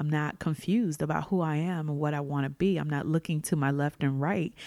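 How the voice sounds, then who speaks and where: A woman speaks in a warm tone with ordinary pitch variation. The recording is very clean, with a silent background. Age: 30s. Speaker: podcast host. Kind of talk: solo reflective monologue. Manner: casual, conversational, warm.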